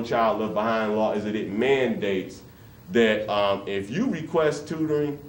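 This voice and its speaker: Noticeable background noise accompanies a speaker with an American accent talking at a fairly slow pace. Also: man. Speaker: workshop presenter for grandparents. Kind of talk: interactive community workshop talk, live to a room. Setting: church hall, live room recording.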